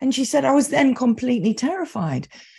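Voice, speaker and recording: Against a quiet background, a woman's dark, mellow and somewhat breathy voice moves through very wide pitch swings. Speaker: EMDR therapist and trainer. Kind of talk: interview conversation. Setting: video call. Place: home room.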